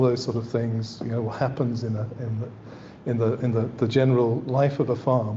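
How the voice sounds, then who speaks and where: Audible room echo surrounds a man whose voice is somewhat breathy. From northern England, East Yorkshire. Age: 60s. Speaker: landscape architect. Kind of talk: lecture. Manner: halting, with frequent repetitions and fillers.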